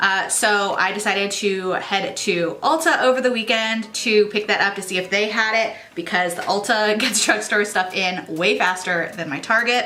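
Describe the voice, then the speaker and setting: Over noticeable background noise, a woman speaks at a moderate pace with hardly any pauses, using a medium pitch and ordinary pitch variation. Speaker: beauty vlogger. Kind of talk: makeup tutorial.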